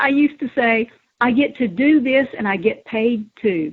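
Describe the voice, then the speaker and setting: A woman with a Southern US accent speaks at a moderate pace in a high pitch, with very wide pitch swings. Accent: Southern US accent, came back after training. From South Carolina. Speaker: former caregiver. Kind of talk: interview.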